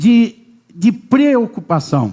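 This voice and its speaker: There is noticeable background noise around this man's voice. His pitch swings very widely. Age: 60s. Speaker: pastor. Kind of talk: sermon.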